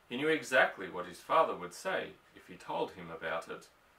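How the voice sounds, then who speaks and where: Noticeable background noise sits under this recording. A man with an Australian accent speaks at a moderate pace. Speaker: audiobook reader. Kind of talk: novel reading.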